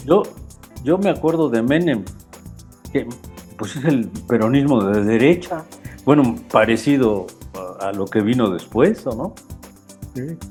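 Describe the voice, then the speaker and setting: A man with a medium-pitched voice speaks with lively intonation and long, frequent pauses over music in the background. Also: fairly slow pace. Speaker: podcast interviewer. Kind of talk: casual conversation, interviewer questions.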